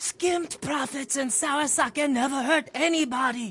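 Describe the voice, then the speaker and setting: A man in a put-on character voice, extremely high-pitched, at a moderate pace. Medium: video game. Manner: fast, anxious, stammering.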